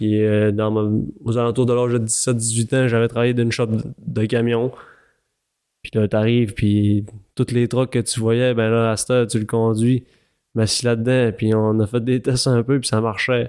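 A man at medium pitch speaks in a flat monotone at a moderate pace, his tone dark and mellow and his loudness very even, with long, frequent pauses, on a very clean recording with a silent background. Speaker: snowmobile racer. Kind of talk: interview.

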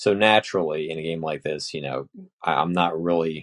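A man speaks at a very deep, low pitch with fairly even intonation. The sound is dry and close with no echo, over a quiet background. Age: 20s. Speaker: podcast host. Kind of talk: casual monologue. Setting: home office. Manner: rambling, hesitant with fillers.

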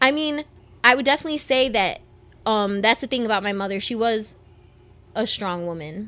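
A woman with a Detroit accent has a bright, sharp tone and fairly high pitch. Her intonation is lively, broken by long, frequent pauses. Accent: Detroit American English. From Southwest Detroit, Michigan. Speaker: singer. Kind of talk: casual interview.

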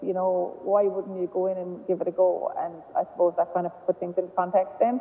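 A woman's monotone, flat delivery against noticeable background noise. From Ireland, Galway. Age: 30s. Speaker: camogie manager and former goalkeeper. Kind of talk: casual interview chat. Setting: phone call.

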